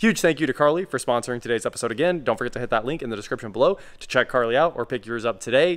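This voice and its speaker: In a hoarse, put-on character voice, the speaker rushes at a very fast pace with hardly any pauses. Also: man, medium pitch for a man. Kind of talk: casual vlog chat, sponsor thanks. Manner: sponsor read, wrapping up an episode.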